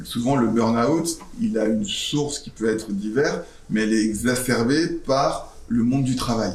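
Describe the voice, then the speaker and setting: Speech comes at a fairly slow pace. There is audible room echo and noticeable background noise. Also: man. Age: 40s. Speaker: startup founder. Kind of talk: interview with school students.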